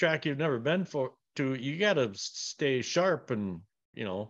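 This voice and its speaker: A man with a normal speaking voice in a Canadian accent, fairly high in pitch, at a moderate pace against a quiet background. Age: 40s. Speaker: retired race car driver. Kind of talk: interview.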